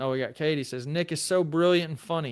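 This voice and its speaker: Speaking with a Southern accent, a man moves at a fairly quick pace. His intonation is fairly even, and the recording is very clean with a silent background. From Tennessee. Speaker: lawyer and legal commentator. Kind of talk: live stream chat reading. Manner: casual, conversational.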